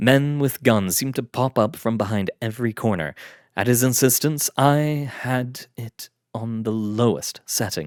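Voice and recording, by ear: The voice reads aloud naturally, its pitch varying in an ordinary way. Little else is heard behind it.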